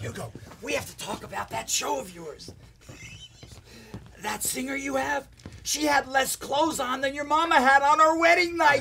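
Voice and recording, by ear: A man puts on a character voice at an extremely high pitch, bright and sharp in tone with vocal fry. Pitch varies in an ordinary way, broken by long, frequent pauses. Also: moderate pace.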